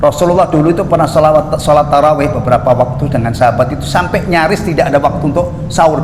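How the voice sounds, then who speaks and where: Amid noticeable background noise and audible room echo, a man talks at a very fast pace with hardly any pauses, using a fairly high pitch and ordinary pitch variation. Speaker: Islamic preacher. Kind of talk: religious lecture. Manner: conversational, jokey asides.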